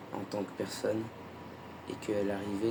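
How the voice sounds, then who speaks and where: A man with fairly low pitch, monotone, flat intonation and audible room echo. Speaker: YouTuber sharing personal spiritual experience. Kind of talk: personal vlog monologue. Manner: calm, measured; hesitant, with fillers.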